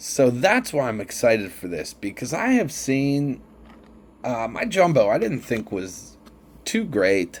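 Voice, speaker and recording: A man with an American accent at a medium pitch, speaking fairly slowly with very wide pitch swings, in a very clean recording with a silent background. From Pittsburgh, western Pennsylvania. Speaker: sports card collector, channel host. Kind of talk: casual card-opening video commentary. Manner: chatty, with hesitations.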